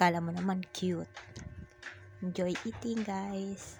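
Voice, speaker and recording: A woman talks at a fairly slow pace. Music can be heard in the background. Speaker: vlogger. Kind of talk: vlog narration.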